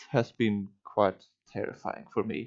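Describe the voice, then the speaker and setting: A man speaks with a non-native accent. The sound is dry and close, with no echo. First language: not English. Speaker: streamer / YouTuber. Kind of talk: casual monologue. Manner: slow; halting, stuttering.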